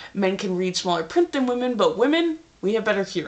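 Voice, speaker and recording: A woman speaks at a fairly quick pace and a fairly high pitch. Noticeable background noise runs behind her. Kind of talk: casual talk to camera. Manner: fast.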